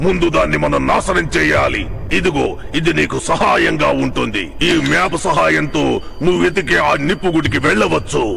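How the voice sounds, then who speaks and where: Over clear background noise, a man uses a put-on character voice at a fairly slow pace. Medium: fan dub. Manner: solemn, measured.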